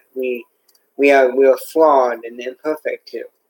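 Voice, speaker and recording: This man speaks at a moderate speed. The sound is close and dry, without echo. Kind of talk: monologue. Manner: halting.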